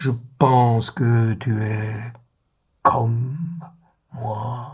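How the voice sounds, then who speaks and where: Very slow male speech in a medium pitch, with long, frequent pauses and fairly even intonation. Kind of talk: literary letter reading. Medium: read story. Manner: measured, intimate.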